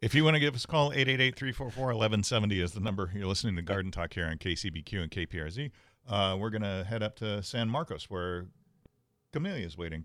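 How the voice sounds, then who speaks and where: A man speaks with a normal speaking voice at a fairly low pitch. His intonation is lively. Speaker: radio host. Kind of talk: radio show patter. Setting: radio studio. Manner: friendly, welcoming, brisk.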